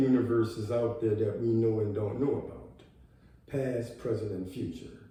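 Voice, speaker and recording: Over noticeable background noise and audible room echo, a man with an American accent speaks at a medium pitch and a moderate pace. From US South, New Orleans, Louisiana. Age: 60s. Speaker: vlogger. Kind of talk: personal video monologue. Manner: halting, with many fillers.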